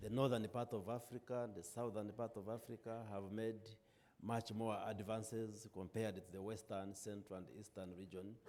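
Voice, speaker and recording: A man with a dark, mellow tone and fairly low pitch speaks at a moderate pace in a monotone, flat intonation. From Uganda. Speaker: government minister, panelist. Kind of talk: panel discussion.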